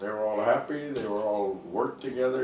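A man is heard with audible room echo. There is light background noise behind him. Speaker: former resident with medical background. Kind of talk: interview reminiscence. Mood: warm reminiscing. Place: office.

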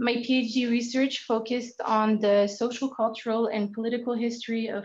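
A woman in a French accent, fairly high in pitch, at a moderate pace against a quiet background. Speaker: historian of archaeology. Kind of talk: academic presentation.

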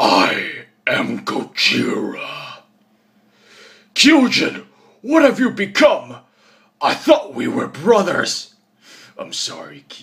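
A man uses a raspy, put-on character voice. He talks at a very slow pace, with long, frequent pauses. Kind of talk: character voice audition. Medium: voice reel. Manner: stern, grave.

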